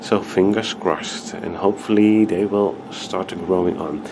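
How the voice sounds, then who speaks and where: A man's fairly low voice at a moderate pace, with noticeable background noise. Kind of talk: tutorial. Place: home room. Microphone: camera far.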